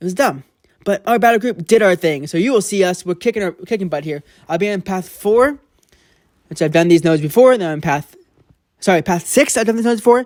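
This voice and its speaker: A man talks at a very fast pace with a high voice and lively intonation, the sound dry and close with no echo. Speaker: mobile game commentator. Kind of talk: gameplay commentary. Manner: halting, stumbling over words; casual, informal.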